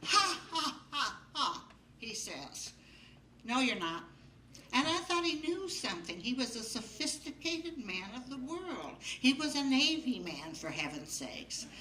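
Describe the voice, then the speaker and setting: Raising and projecting her high voice, a woman speaks at a fairly slow pace with a bright, sharp tone and very wide pitch swings. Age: 80s+. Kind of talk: live storytelling to an audience. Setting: live stage with audience.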